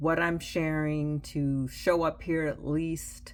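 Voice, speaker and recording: Very slowly and with fairly even intonation, a woman speaks in a very deep, low pitch. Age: 60s. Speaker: writer and writing instructor. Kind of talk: casual vlog monologue. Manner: conversational, with fillers.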